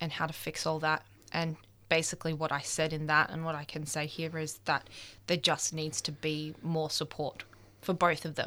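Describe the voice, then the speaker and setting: A woman speaks at a moderate pace in an Australian accent, her pitch very deep and low and her tone bright and sharp. Her intonation is flat and monotone, and the recording is very clean with a silent background. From Melbourne, Australia. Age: 20s. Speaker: photographer and youth advocate. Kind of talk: radio interview. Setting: radio studio. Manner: halting.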